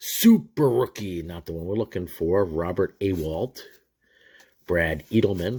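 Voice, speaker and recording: Over a very clean recording with a silent background, a man with a very deep, low pitch speaks very slowly in a relaxed tone with ordinary pitch variation. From New York area. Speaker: sports card collector YouTuber. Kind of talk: casual pack-opening commentary. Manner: casual, relaxed.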